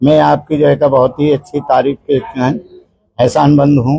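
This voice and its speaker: Somewhat breathy male speech with a dark, mellow tone. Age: 60s. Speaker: community elder, anti-drug campaigner. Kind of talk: street news interview.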